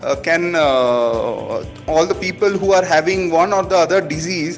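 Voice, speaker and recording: A man's high-pitched voice at a fairly slow pace, with music in the background. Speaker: food startup founder. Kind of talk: interviewer, casual conversation.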